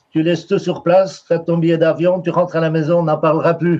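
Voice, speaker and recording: In a Brussels accent, a man speaks with a high pitch. His pace is moderate. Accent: Brussels Belgian French. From Belgium, Brussels. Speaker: painter. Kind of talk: interview. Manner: halting, many fillers and repetitions.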